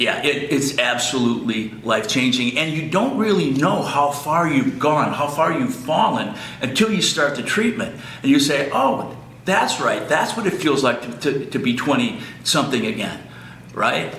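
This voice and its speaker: Fairly high in pitch, a man speaks at a moderate pace with lively intonation amid noticeable background noise and an audible room echo. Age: 60s. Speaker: clinic patient. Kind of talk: testimonial. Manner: halting, many fillers and repeats.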